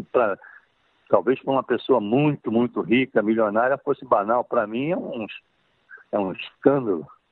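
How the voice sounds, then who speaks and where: Medium in pitch, a man talks at a moderate pace with ordinary pitch variation. He leaves long, frequent pauses. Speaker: film director. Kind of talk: interview. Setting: phone call. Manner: halting, repeats words. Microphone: telephone line.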